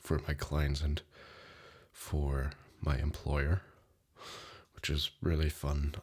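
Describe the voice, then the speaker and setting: A soft-spoken man with a very deep, low voice and vocal fry, at a very slow pace. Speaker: ASMR creator; insurance client manager. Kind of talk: ASMR life update talk.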